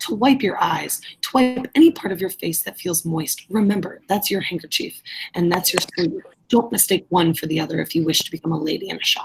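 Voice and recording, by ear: A woman puts on a character voice with a fairly low pitch and ordinary pitch variation. It carries vocal fry and a husky, rough edge. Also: fairly quick pace.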